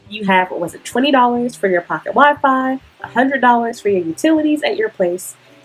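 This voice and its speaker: A woman's fairly high, quick voice with very wide pitch swings over music in the background. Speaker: student and worker in Japan. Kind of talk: advice vlog talk to camera. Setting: noisy, distorted recording. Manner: casual.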